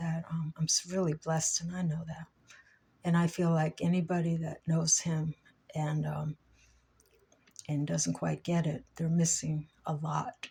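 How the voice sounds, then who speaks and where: Speaking at a fairly slow pace with long, frequent pauses, a woman has a very deep, low pitch, a monotone, flat intonation, and a dark, mellow, somewhat breathy tone. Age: 60s. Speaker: vlogger. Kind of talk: personal vlog monologue. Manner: halting, many fillers.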